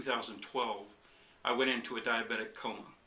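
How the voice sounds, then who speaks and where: A man speaks over noticeable background noise. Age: 60s. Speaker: chiropractic patient. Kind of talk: testimony. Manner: halting, with fillers.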